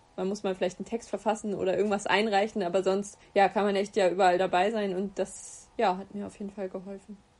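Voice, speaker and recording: Over noticeable background noise, a woman talks at a very fast pace with monotone, flat intonation and big swings in loudness. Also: medium pitch for a woman. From Hesse, Germany (Gießen). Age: 20s. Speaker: agency consulting team lead and freelance photographer. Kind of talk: interview. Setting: video call. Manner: hesitant, many filler sounds.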